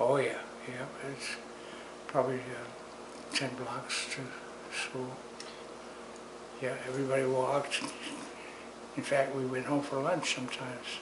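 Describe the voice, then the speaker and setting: A man with an American accent speaks at a fairly slow pace and medium pitch, in a monotone, flat delivery with long, frequent pauses, over noticeable background noise and audible room echo. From New York City, the Bronx. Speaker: interviewee recalling childhood. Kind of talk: oral history interview. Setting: at home. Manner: halting.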